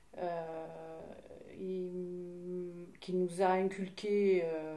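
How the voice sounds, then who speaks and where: A woman's fairly low-pitched voice in monotone, flat intonation, with noticeable background noise and audible room echo. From southern France, Hérault (Mèze). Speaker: interviewee sharing life story. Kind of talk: testimony interview. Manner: halting, many hesitations.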